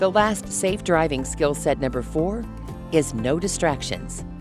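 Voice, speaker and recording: Music plays in the background as the speaker goes along at a moderate pace. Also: woman. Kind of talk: corporate safety training narration.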